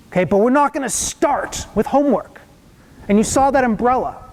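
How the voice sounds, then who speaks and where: Over noticeable background noise, a man talks at a moderate pace. His pitch variation is ordinary. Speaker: psychologist giving a parenting presentation. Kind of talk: lecture. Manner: halting with fillers.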